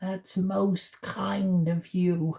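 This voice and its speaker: Middle pitch in a put-on character voice. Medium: read story.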